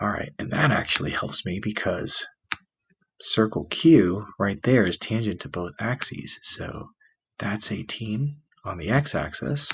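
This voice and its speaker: A man whispers quietly at a fairly slow pace. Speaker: math teacher. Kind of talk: classroom math explanation. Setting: home, recorded near a sleeping child. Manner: whispered, quiet.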